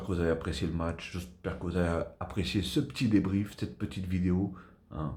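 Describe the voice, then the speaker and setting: A man with a very deep, low pitch and a dark, mellow tone speaks at a moderate pace with fairly even intonation, somewhat breathy, with audible room echo. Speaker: football YouTuber. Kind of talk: casual video debrief. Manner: soft-spoken.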